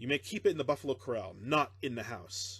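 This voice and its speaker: In a put-on, gruff character voice, a man talks at a very fast pace with lively intonation and medium pitch against a quiet background. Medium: read story. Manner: gruff, harsh.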